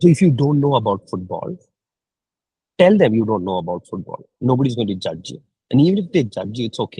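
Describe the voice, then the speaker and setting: With a dark, mellow tone and a somewhat breathy edge, a man speaks at a fairly quick pace, his pitch swinging very widely, in a dry, close sound with no echo. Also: medium pitch for a man. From India (Kerala). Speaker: mentor. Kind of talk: mentoring session.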